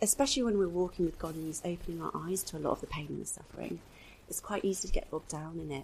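A woman talks at a very fast pace with a southern English accent. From England, Devon (Torquay). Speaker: mother working in fashion e-commerce. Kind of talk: testimony.

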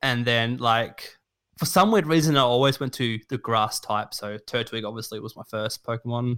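A man with a bright, sharp tone and medium pitch speaks at a moderate pace with ordinary pitch variation and big swings in loudness, in a very clean recording with a silent background. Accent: Australian. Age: 20s. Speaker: streamer and shiny hunter. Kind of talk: casual chat.

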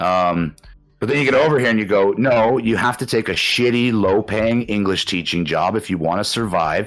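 Over music in the background, a man talks at a moderate pace with a Canadian accent, his loudness very even throughout. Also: fairly low pitch for a man, ordinary pitch variation. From Canada. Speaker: podcast guest, former heavy drinker living abroad. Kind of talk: casual chat.

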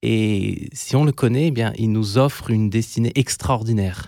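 A man at a fairly slow pace, ordinary pitch variation, dry and close with no echo, on a very clean recording with a silent background. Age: 40s. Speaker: primary school teacher and songwriter. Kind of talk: interview. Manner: halting, frequent hesitations.

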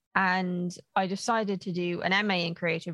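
Recorded with a dry, close sound with no echo and a quiet background, a woman with an ordinary speaking voice talks in a fairly low pitch with fairly even intonation. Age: 30s. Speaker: author and writing coach. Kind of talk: casual interview.

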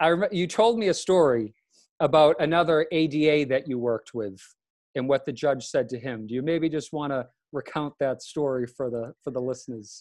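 Fairly quick delivery with ordinary pitch variation over a quiet background. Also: man, fairly high pitch for a man. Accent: Boston. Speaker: law student podcast host. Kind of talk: casual podcast hosting. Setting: video call.

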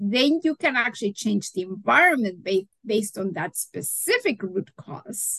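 A somewhat breathy woman's voice at a fairly slow pace, with very wide pitch swings and a dry, close sound with no echo. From Mexico. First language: Spanish. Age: 60s. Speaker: holistic nutritionist. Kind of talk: interview. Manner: animated.

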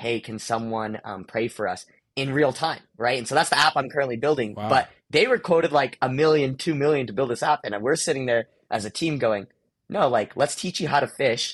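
Over a quiet background, a man with an American accent speaks with ordinary pitch variation. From US, Indian family. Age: 20s. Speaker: entrepreneur. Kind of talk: casual interview.

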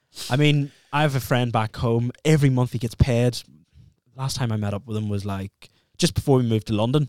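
With a Northern Irish accent and ordinary pitch variation, the voice comes through as a dry, close sound with no echo. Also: man, medium pitch for a man, fairly quick pace. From Northern Ireland. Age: 20s. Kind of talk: casual chat.

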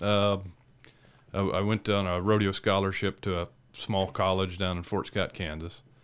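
A man speaks with an American accent at a fairly low pitch and a moderate pace. His intonation is flat and monotone, on a very clean recording with a silent background. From Iowa, US Midwest. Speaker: rodeo cowboy. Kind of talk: interview, personal testimony. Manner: halting, repeats words.

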